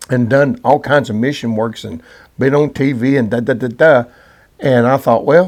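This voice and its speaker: This man uses an ordinary speaking voice at a medium pitch. He talks at a moderate pace with ordinary pitch variation. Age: 60s. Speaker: co-host, gospel singer. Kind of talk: casual chat.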